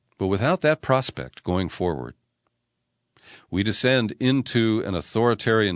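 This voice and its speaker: This is a plain, everyday voice: a man, fairly low in pitch, with lively intonation at a moderate pace. The sound is dry and close with no echo over a quiet background. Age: 60s. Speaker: radio host and political commentator. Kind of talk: news commentary.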